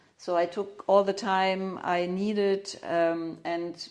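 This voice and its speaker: With a German accent, a woman at medium pitch talks at a very slow pace in a monotone, flat intonation. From Germany. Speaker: craniosacral therapist. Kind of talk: interview. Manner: halting, many fillers.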